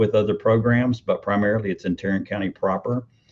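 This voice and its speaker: A man speaks in a somewhat breathy voice. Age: 60s. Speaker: mental health agency executive. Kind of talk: interview. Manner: halting, many fillers.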